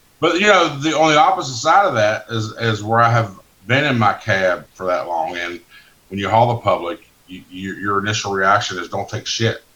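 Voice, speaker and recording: Speech at a moderate pace rises and falls sharply in loudness over noticeable background noise. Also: man, medium pitch for a man. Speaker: truck dispatch manager, former driver. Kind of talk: casual chat.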